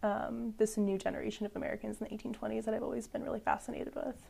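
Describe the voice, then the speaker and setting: With a Midwestern US accent, a woman speaks at a very fast pace in a dark, mellow tone marked by vocal fry. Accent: US Midwest. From St. Louis, Missouri. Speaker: history PhD student. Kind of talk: interview.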